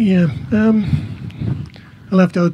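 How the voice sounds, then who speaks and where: A man speaks softly at a high pitch. Noticeable background noise is present. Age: 60s. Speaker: cancer patient sharing testimony. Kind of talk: testimony. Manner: soft-spoken.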